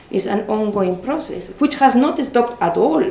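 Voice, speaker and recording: Over noticeable background noise and audible room echo, the voice moves at a moderate pace with very wide pitch swings. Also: woman. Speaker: law professor. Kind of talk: conference talk. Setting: conference with audience. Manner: repetitive false starts.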